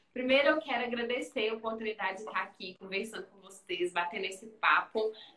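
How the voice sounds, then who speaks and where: The speaker's pitch varies in an ordinary way. Noticeable background noise can be heard. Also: woman, big swings in loudness. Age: 30s. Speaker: physiotherapist and business owner. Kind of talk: casual interview on Instagram live. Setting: video live stream from her clinic.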